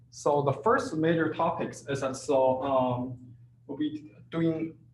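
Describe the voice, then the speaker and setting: Audible room echo surrounds a man whose fairly high voice is somewhat breathy. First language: not English. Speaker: teaching assistant. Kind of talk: tutorial. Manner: halting, many fillers.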